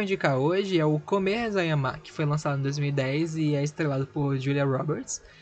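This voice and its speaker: A man's fairly high voice at a moderate pace, with lively intonation and hardly any pauses. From Brazil, Recife. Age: 20s. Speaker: podcast host. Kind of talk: casual podcast monologue. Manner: animated.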